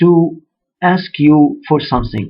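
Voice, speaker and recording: With music in the background, a speaker with an Arabic accent talks at a very slow pace with ordinary pitch variation. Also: man. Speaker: religious speaker. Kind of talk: sermon.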